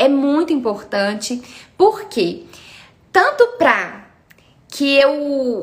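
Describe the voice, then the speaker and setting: With a Minas Gerais accent, a woman speaks with lively intonation. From Minas Gerais, Brazil. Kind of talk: live stream talk on faith and meditation. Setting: live video stream.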